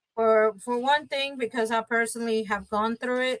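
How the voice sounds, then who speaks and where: A woman talks at a fairly quick pace with fairly even intonation, in a dry, close sound with no echo. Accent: Spanish. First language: Spanish. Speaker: bilingual notary and bank worker. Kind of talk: interview. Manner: casual, with filler words.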